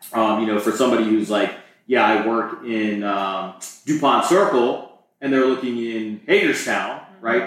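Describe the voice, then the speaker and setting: A man with an American accent, medium pitch and ordinary pitch variation, at a moderate pace, with audible room echo. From Maryland, US (Montgomery County). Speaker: real estate agent. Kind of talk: interview.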